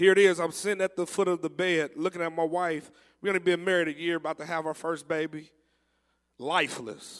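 A man with a high-pitched voice speaks in a fairly even intonation on a very clean recording with a silent background. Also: fairly quick pace. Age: 30s. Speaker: preacher. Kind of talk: sermon. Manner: repetitive, stammering restarts.

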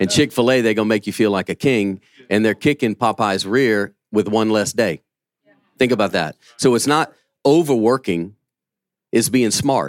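At a moderate pace, the speaker talks with a Southern US accent, ordinary pitch variation and long, frequent pauses, in a dry, close sound with no echo. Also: man, medium pitch for a man. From Louisiana. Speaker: pastor and businessman. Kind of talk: conference panel talk.

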